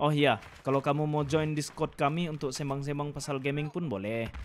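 A man with a plain, everyday voice and a fairly high pitch talks at a fairly quick pace. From Sabah, Malaysia. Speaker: gaming YouTuber. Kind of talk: casual monologue over gameplay.

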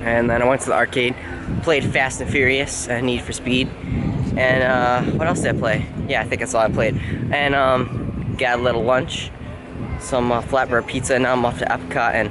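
A man talks with noticeable background noise behind him. The sound is dry, with no echo. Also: moderate pace. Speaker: vlogger. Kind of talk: casual vlog chat. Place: street. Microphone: phone near.

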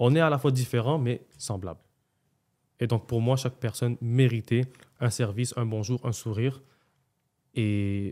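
With a Quebec accent, a man speaks in a dark, mellow tone with ordinary pitch variation. He leaves long, frequent pauses over a quiet background. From Montreal, Quebec. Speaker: restaurant owner, entrepreneur; podcast guest. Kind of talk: casual interview, life story. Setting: podcast studio. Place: studio. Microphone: studio mic.

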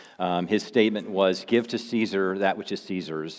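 Speaking at a moderate pace, a man has an unremarkable speaking voice with a fairly low pitch. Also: quiet background. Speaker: pastor. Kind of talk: sermon. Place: church.

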